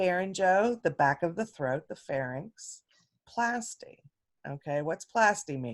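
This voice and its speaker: Heard in a dry, close sound with no echo, a woman speaks at a fairly low pitch with very wide pitch swings. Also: fairly slow pace. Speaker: instructor. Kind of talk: lecture.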